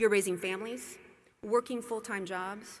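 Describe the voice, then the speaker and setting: A woman's fairly high voice at a fairly quick pace. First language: not English. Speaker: commencement speaker. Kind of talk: commencement speech. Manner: formal.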